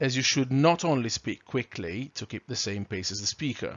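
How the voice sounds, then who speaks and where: At a moderate pace, a speaker with a non-native accent uses very wide pitch swings. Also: man. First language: not English. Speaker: trainer. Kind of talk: lecture. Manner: clear, carefully articulated.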